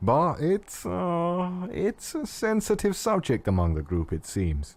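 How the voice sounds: Delivered at a slow pace, the put-on character voice has a slightly mellow tone and big pitch swings. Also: man, high pitch for a man.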